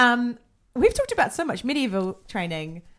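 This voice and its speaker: At a moderate pace, a woman speaks with a New Zealand accent. The recording is very clean, with a silent background. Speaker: podcast host. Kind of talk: casual interview chat.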